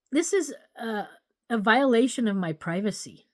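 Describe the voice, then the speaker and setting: In a very clean recording with a silent background and a dry, close sound with no echo, a woman with an American accent talks at a very slow pace, her fairly high pitch carried by lively intonation. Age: 60s. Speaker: political candidate vlogger. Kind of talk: casual political monologue. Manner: animated.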